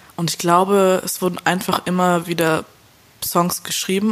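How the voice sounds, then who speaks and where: A woman speaks with a fairly low pitch over noticeable background noise. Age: 20s. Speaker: indie pop musician. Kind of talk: casual interview. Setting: remote call.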